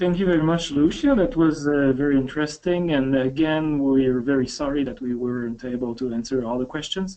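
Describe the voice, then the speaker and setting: With a French accent, the speaker moves at a fairly quick pace with hardly any pauses. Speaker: company webinar host. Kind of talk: webinar closing remarks. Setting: online webinar. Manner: halting, many fillers.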